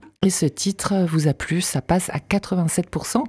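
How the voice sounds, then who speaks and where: Dry and close with no echo, a woman's voice sounds dark and mellow at a fairly low pitch. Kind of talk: radio dj patter: back-announcing the track, plugging the album, teasing tomorrow. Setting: studio. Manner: brisk, polished, friendly radio-announcer delivery.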